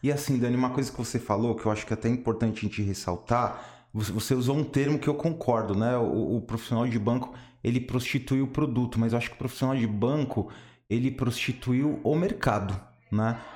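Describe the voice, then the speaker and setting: A man with a normal speaking voice talks at a fairly quick pace and medium pitch. His pitch varies in an ordinary way, and his loudness stays very even. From São Paulo, Brazil. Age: 30s. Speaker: former banker, independent financial agent. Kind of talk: casual interview chat.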